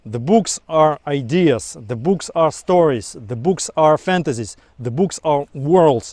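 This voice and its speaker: A man with a non-native accent and a fairly high voice talks at a fairly slow pace, the sound dry and close with no echo. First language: not English. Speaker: book vlogger. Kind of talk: casual monologue to camera. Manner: some halting repetitions.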